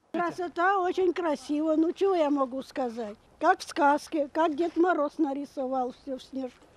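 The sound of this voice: A woman talks at a moderate pace in a high voice. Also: ordinary pitch variation.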